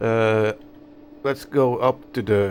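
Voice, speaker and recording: Through noticeable background noise, a man mumbles at a medium pitch. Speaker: radio amateur. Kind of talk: tutorial. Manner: mumbling; halting.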